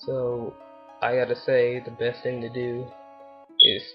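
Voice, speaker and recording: A man at medium pitch speaks quietly with music in the background. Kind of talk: casual talk to camera. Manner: quiet, low volume; flat, monotone.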